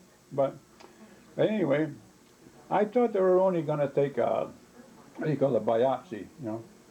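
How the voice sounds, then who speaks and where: A man at a fairly quick pace, very wide pitch swings, and noticeable background noise. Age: 80s+. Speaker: grandfather recalling illness. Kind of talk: casual family chat. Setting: cabin in New Hampshire. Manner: halting, many repetitions and fillers.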